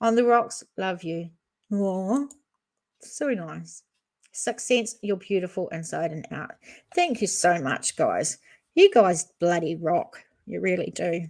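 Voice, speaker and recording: Speaking in a New Zealand accent, a woman goes at a very slow pace with lively intonation, big swings in loudness, and long, frequent pauses. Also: medium pitch for a woman. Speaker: true crime YouTuber. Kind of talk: live stream chat. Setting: live stream.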